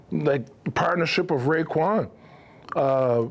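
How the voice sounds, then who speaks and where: A man's voice with ordinary pitch variation. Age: 40s. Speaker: actor and hip hop artist. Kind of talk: casual interview conversation.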